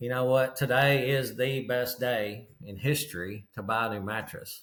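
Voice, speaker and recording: Speaking at a moderate pace with a Kentucky accent, a man keeps a medium pitch and fairly even intonation. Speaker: mattress retailer and business coach. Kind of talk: casual interview.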